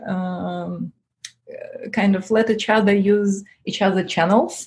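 A woman with a non-native accent speaks at a fairly slow pace in a somewhat breathy, dark, mellow tone with fairly even intonation. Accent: foreign-accented English. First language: not English. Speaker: tech entrepreneur. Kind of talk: interview. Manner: halting, many fillers.

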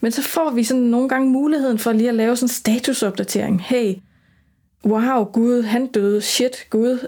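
With a dark, mellow tone, a woman speaks at a moderate pace, her pitch fairly high and her intonation fairly even. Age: 40s. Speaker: former funeral worker and death activist. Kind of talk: interview conversation.

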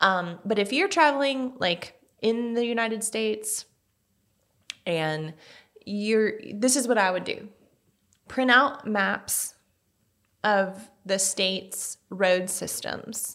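A woman speaks very slowly, leaving long, frequent pauses. Her fairly high voice has lively intonation. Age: 30s. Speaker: podcast host. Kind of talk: casual chat. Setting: studio.

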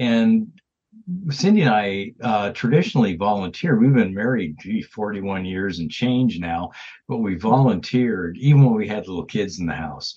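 Here a man with an unremarkable speaking voice speaks at medium pitch with lively intonation. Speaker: retired quality manager, guest. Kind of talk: interview.

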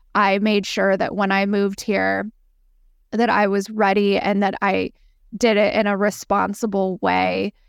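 On a very clean recording with a silent background, a woman with an American accent talks at a fairly slow pace in a monotone, flat intonation with very even loudness. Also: medium pitch for a woman. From San Diego, California. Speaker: podcast host, finance business founder. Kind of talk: solo podcast monologue.

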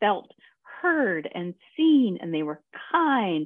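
A woman with an American accent, very wide pitch swings and a fairly slow pace. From US South. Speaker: designer. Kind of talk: interview.

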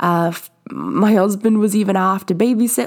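A woman speaking in an animated tone. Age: 20s. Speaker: fitness podcast host. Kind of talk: motivational monologue.

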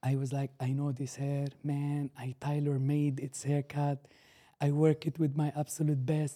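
On a very clean recording with a silent background and a dry, close sound with no echo, a man with an Arabic accent speaks in a monotone, flat intonation, his fairly high pitch carrying a dark, mellow tone. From Syria. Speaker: barber and business owner. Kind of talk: casual interview. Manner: halting.

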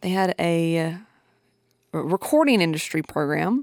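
With a Southern US accent, a woman speaks at a fairly low pitch and moderate pace, on a very clean, dry, close recording with no echo and a silent background. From Tennessee, near Nashville. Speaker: podcast host, audio engineer. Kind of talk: casual solo podcast monologue.

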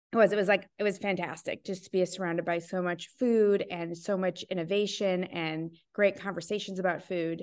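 Against a quiet background, a woman with an American accent speaks at a fairly quick pace and medium pitch, with monotone, flat intonation and hardly any pauses. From Wisconsin. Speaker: chef and life coach. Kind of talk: casual interview.

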